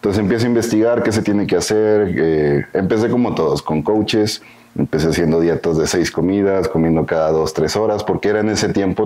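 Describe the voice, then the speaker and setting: A man speaks at a fairly quick pace. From northern Mexico, Coahuila. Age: 20s. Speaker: bodybuilding coach. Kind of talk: interview.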